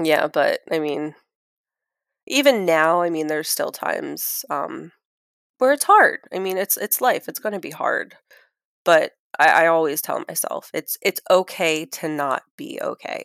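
A woman with an American accent at a fairly slow pace, big swings in loudness, and a dry, close sound with no echo on a very clean recording with a silent background. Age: 30s. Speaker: guest. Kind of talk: casual chat telling her story.

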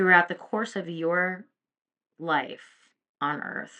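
A woman's fairly low voice at a very slow pace. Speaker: podcast host and psychic medium. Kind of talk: open letter read aloud as a heartfelt dedication to a late grandmother. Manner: earnest, emotional, tender.

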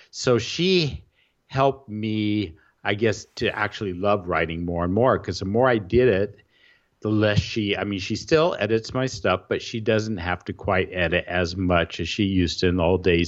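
This man's voice sits at a fairly low pitch, with ordinary pitch variation and a moderate pace. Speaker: WordPress blogger and podcaster. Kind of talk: casual interview conversation. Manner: articulate, chooses words carefully.

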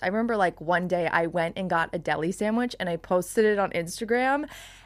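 A woman with a Long Island accent talks at a very fast pace and a medium pitch, with ordinary pitch variation and hardly any pauses. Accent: Long Island New York. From New York, Long Island. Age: 20s. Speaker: business owner. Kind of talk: casual chat. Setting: studio. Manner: loud.

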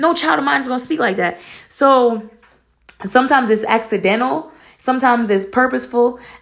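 A woman's high-pitched voice with an American accent, lively intonation and a fairly quick pace. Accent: shifts between proper and Atlanta. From Atlanta, US South. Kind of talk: casual chat.

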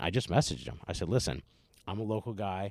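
A man with an American accent speaks with ordinary pitch variation on a very clean recording with a silent background. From northeastern Pennsylvania (Scranton area). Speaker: comedian and school teacher. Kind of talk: casual chat. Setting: studio.

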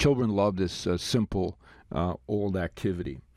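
Someone with a Canadian accent speaks in an unremarkable speaking voice with ordinary pitch variation. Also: man. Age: 60s. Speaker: parenting podcast host. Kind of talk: advice podcast monologue.

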